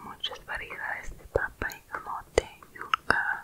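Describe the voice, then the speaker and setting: A woman is whispering. She speaks at a very slow pace. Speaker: content creator. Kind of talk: soft-spoken ASMR-style talk on food. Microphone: studio mic.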